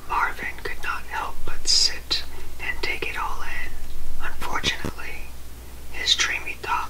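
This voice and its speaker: A man speaks at a fairly slow pace with an extremely high pitch. Loud background noise fills the clip. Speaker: ASMR creator. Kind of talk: ASMR book reading for sleep. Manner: soft-spoken, whispering. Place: home room.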